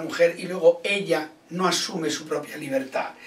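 Audible room echo follows a man as he talks. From Ourense, Galicia, Spain; Galicia, Spain. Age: 60s. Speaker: comedian and actor; comedian, actor. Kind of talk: interview answer. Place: home room. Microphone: camera far.

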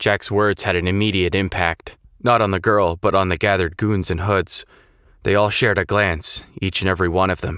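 The reading voice sounds unforced. Intonation stays fairly even.

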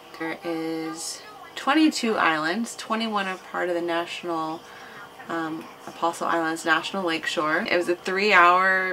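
An unremarkable speaking voice at a fairly slow pace, with fairly even intonation and light background noise. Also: woman. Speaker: travel vlogger. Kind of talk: casual vlog chat. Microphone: camera far.

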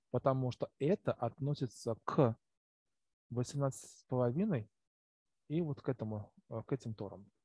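His voice dark and mellow in tone and somewhat breathy, a man speaks at medium pitch with ordinary pitch variation, in a dry, close sound with no echo. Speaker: chemistry teacher. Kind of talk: lecture. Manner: halting. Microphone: poor recording quality.

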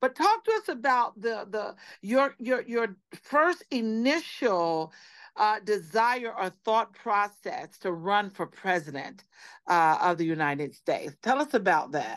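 Against a quiet background, a woman speaks fairly slowly, her pitch swinging very widely. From US South, Savannah, Georgia; Georgia. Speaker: radio host. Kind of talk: radio interview. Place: home room. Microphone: video call.

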